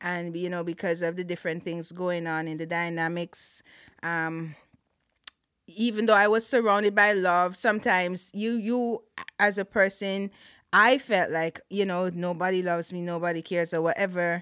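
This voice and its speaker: A woman speaks with a Caribbean accent at a moderate pace. Her intonation is fairly even. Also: fairly low pitch for a woman. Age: 40s. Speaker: Salvation Army officer. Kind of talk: testimony.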